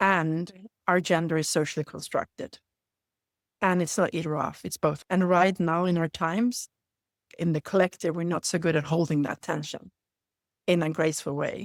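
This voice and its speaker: With a Swedish accent and a fairly low pitch, a woman speaks at a moderate pace with fairly even intonation and long, frequent pauses, in a dry, close sound with no echo on a very clean recording with a silent background. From Sweden. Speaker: leadership facilitator. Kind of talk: interview conversation. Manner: halting.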